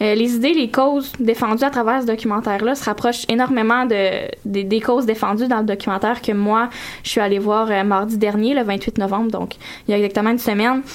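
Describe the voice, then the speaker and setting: A woman's fairly high voice, fairly quick in pace and fairly even in intonation. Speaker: radio columnist. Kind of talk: radio segment on community station.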